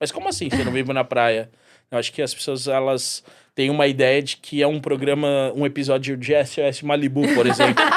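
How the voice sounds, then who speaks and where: A man's fairly high voice at a fairly quick pace, with monotone, flat intonation. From Brazil, São Paulo. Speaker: mixologist. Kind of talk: podcast interview.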